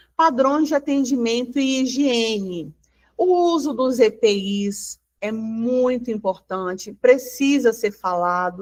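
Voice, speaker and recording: This woman talks very slowly, her fairly high voice rising and falling in a lively way. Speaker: union advisor presenting to beauty business owners. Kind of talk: online workshop presentation.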